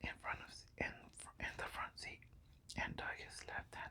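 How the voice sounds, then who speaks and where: A whisper at a fairly slow pace. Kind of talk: ASMR whisper audiobook reading. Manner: whispered.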